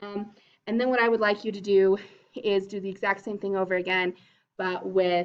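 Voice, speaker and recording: A woman speaks at medium pitch with monotone, flat intonation. Her pace is moderate. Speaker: drama teacher. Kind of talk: lecture.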